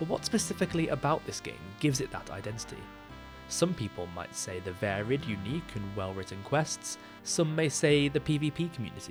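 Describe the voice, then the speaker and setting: With music in the background, a man at a medium pitch talks at a fairly quick pace, his pitch swinging very widely. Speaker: gaming video creator. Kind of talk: scripted video essay narration.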